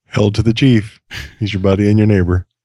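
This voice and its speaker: In a put-on character voice, the speaker delivers lines at a fairly quick pace with monotone, flat intonation. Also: man, fairly low pitch for a man. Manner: booming, theatrical.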